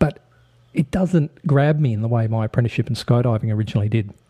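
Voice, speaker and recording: A medium-pitched man with an Australian accent and ordinary pitch variation. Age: 50s. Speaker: podcast host. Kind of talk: podcast monologue.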